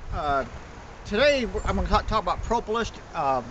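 Light background noise sits under a man speaking at a moderate pace. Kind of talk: tutorial. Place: farm.

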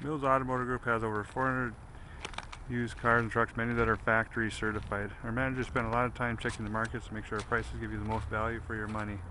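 Over noticeable background noise, a man talks very fast in a monotone, flat way, with a dry sound and no echo. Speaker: car salesperson. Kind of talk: sales walkaround commentary. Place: street. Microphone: phone near.

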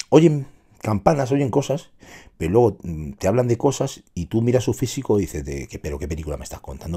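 A man speaks at a fairly quick pace with very wide pitch swings, a dark, mellow tone and vocal fry over a quiet background. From Spain. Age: 40s. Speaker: fitness streamer. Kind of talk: casual livestream monologue. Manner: animated. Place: home room. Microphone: studio mic.

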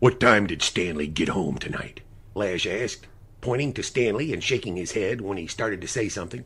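The intonation moves in a lively way. Someone is reading aloud in a natural voice.

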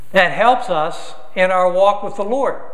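A man speaks in a raised, projected voice at a fairly slow pace, with ordinary pitch variation. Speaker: guest preacher. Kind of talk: sermon. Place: church.

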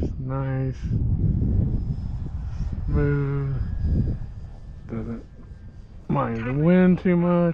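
A man talks at a very slow pace with long, frequent pauses. His pitch is medium, with ordinary variation.

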